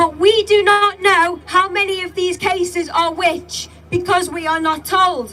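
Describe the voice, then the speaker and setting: A woman speaks at an extremely high pitch with fairly even intonation. Noticeable background noise runs underneath. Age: young. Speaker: protest speaker. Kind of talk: public speech. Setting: outdoor rally with crowd.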